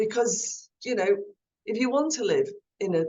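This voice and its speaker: A woman with an English accent at a fairly slow pace. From England (London area), Irish parents. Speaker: former politician, guest speaker. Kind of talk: Q&A talk on video call.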